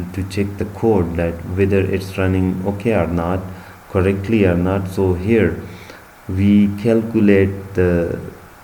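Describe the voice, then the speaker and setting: A man with a non-native accent talks fairly slowly in a very deep, low, monotone voice, with audible room echo and noticeable background noise. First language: not English. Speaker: bioinformatics instructor. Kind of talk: tutorial. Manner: halting.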